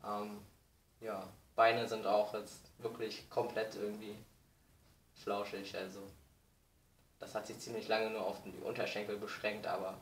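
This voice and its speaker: A man with a fairly low pitch talks at a fairly slow pace in a flat monotone, leaving long, frequent pauses. His loudness swings widely, with audible room echo and light background noise. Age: 20s. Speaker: vlogger. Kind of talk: video diary; casual vlog chat. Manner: hesitant, many fillers. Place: home room. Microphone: webcam.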